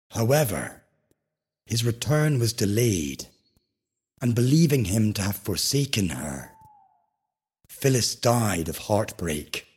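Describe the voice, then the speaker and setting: Speaking very slowly with long, frequent pauses, a man uses a soothing, calm, somewhat breathy voice at medium pitch with very wide pitch swings. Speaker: sleep podcast narrator. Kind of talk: bedtime story. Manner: slow, soothing and hushed, with calm, gentle pacing; formal, poetic and dreamy.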